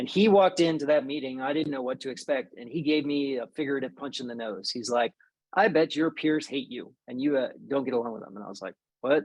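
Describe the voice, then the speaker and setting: A man's very fast, fairly high voice with an American accent, ordinary pitch variation and big swings in loudness over a quiet background. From Maryland, US. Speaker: army veteran. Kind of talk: interview. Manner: quiet by nature.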